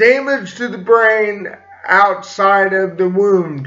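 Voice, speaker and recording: A raised, projected voice moves at a very slow pace with ordinary pitch variation, and there is audible room echo. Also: man. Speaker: vlogger. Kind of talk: personal vlog talk. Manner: hesitant, with fillers.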